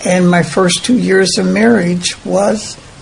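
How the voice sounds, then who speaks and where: Against noticeable background noise, a woman speaks at a very slow pace with a medium pitch. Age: 90s. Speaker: interviewee. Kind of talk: interview conversation.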